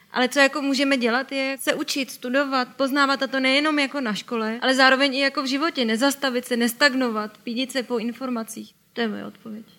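Projecting a raised voice, a woman speaks very fast with hardly any pauses, her high pitch carrying a bright, sharp tone and a monotone, flat intonation. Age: 20s. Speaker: journalist. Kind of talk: talk show interview.

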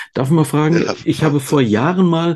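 Speaking at a fairly quick pace, a man's voice has a dark, mellow tone. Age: 50s. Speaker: podcast host. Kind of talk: casual interview.

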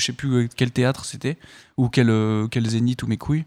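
In a dry, close sound with no echo, a man with a normal speaking voice talks at a medium pitch and a fairly quick pace. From Paris region, France. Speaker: actor. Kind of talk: casual chat.

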